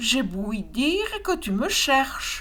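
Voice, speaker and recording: A woman uses a put-on character voice pitched high, with very wide pitch swings. She talks at a very slow pace. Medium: read story. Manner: cooing, chirping.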